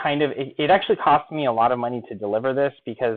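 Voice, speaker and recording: A man talks at a moderate pace and medium pitch. His pitch varies in an ordinary way. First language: not English. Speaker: online marketing coach. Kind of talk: webinar sales pitch. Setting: live stream.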